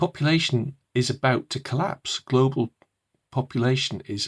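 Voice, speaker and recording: A somewhat breathy voice speaks at a fairly slow pace, recorded dry and close with no echo. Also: man. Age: old. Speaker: purpose coach and author. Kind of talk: casual talk to camera. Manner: hesitant, many fillers.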